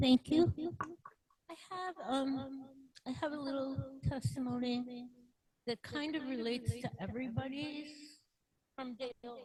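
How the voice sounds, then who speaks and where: Speaking fairly slowly with long, frequent pauses, a woman uses a high voice with a dark, mellow tone, fairly even intonation, and big swings in loudness. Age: 70s. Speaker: therapist. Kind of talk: testimony.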